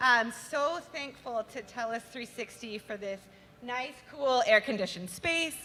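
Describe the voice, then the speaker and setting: A loud woman's voice, high-pitched, with lively intonation. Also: fairly slow pace. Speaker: nonprofit communications manager. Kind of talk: event welcome speech. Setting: live concert venue with audience.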